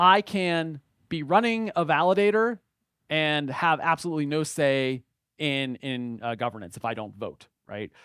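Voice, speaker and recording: A man with an American accent speaks at a moderate pace, his pitch swinging very widely, in a very clean recording with a silent background and a dry, close sound with no echo. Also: fairly high pitch for a man. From United States. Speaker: blockchain educator, conference speaker. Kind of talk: conference talk. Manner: halting, many fillers.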